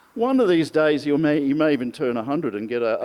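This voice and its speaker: This man, in an Australian accent, has a fairly high pitch and a dark, mellow tone. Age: 60s. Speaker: friend giving birthday speech. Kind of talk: birthday speech.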